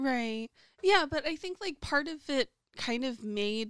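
In a very clean, dry, close recording with a silent background and no echo, a woman with a plain, everyday voice and an American accent talks at a moderate pace with lively intonation. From USA. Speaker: podcast co-host. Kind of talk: casual chat.

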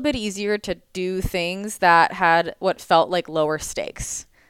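Fairly low in pitch, this woman has an unremarkable speaking voice with ordinary pitch variation. The recording is very clean, with a silent background. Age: 20s. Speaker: entrepreneur and business coach. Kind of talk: casual chat.

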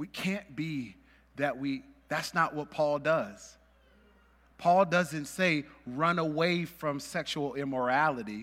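A man with an American accent speaks very slowly at a fairly high pitch, with ordinary pitch variation. The recording is very clean, with a silent background. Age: 30s. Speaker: pastor. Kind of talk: sermon. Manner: casual, many fillers and laughs.

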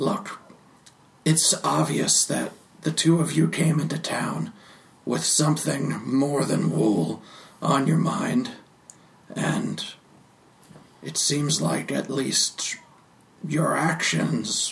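Using a put-on character voice, a man speaks at a very slow pace with long, frequent pauses, sounding raspy at a fairly high pitch. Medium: actual play. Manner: dry, laconic.

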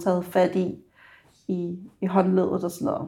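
A woman speaks at a medium pitch. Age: 30s. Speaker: care assistant student. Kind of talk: on-the-job talk with a resident; interview. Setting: nursing home.

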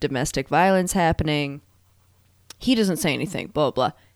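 A woman with a fairly low pitch and a slight New England accent talks with lively intonation, recorded very cleanly against a silent background with a dry, close sound and no echo. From Maine. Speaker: podcast co-host. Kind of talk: casual chat.

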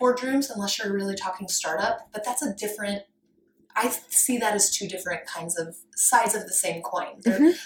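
In an American accent, a woman with a normal speaking voice talks at a moderate pace, her medium pitch showing ordinary pitch variation. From rural Colorado, US. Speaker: fashion designer and workshop leader. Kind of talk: interview.

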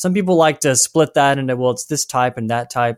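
A man with an American accent at a very fast pace, on a very clean recording with a silent background and a dry, close sound with no echo. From US South. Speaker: writer and researcher. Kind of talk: interview.

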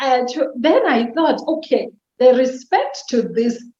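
Speaking with a South African accent, a woman has a high pitch and a dark, mellow tone. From Eastern Cape, South Africa. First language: Xhosa. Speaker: podcast guest, mother and professional. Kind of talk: casual interview chat, sharing personal money story. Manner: reflective, relaxed, candid.

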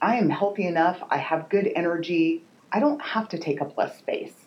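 A woman's fairly low-pitched voice. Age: 50s. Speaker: personal trainer and nutrition coach. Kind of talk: casual chat.

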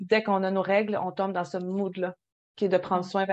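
A woman's medium-pitched voice against a quiet background. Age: 30s. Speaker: podcast co-host. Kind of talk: casual chat.

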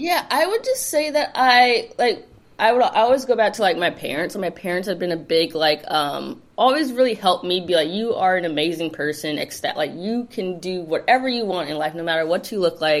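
The speaker has a Californian accent and talks at a fairly quick pace. Their pitch swings very widely. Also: woman, medium pitch for a woman, hardly any pauses. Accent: Californian American English. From Los Angeles, South Bay. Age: 30s. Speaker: community founder. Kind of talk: casual interview chat.

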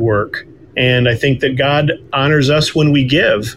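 A man's medium-pitched voice with ordinary pitch variation and a fairly slow pace, plus noticeable background noise. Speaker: author and guest. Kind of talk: interview conversation, faith testimony.

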